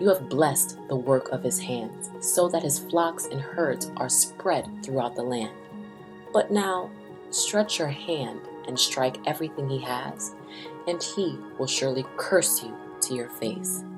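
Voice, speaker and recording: Music in the background behind a woman's fairly slow speech. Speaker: scripture reader. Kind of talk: bible reading, spoken word style.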